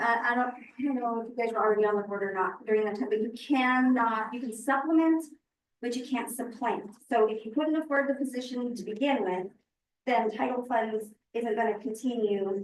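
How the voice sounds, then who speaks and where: With a plain, everyday voice, the speaker keeps a moderate speed and fairly even intonation. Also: woman. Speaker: school board member. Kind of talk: board meeting discussion.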